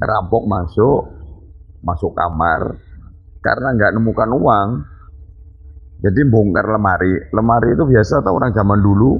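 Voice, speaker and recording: A man with a fairly low pitch talks at a moderate pace with ordinary pitch variation. His speech has long, frequent pauses. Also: very even loudness. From Banyuwangi, East Java (Osing area). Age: 50s. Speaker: local party chairman. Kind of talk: interview. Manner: somewhat loud, hard-toned speech.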